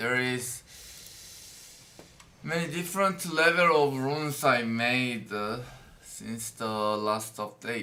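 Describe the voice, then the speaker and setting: Speaking very slowly with long, frequent pauses, a man uses a medium pitch and lively intonation. His tone is bright and sharp, and the room echo is audible. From South Korea. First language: Korean. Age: 20s. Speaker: game streamer. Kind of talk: live stream commentary. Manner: halting.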